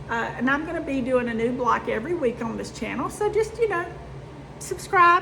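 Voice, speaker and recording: A woman talks fairly quickly in a raised, projected, high-pitched voice with very wide pitch swings, amid audible room echo and noticeable background noise. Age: 50s. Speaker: sewing and quilting youtuber. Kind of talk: casual chat. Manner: chatty, with fillers.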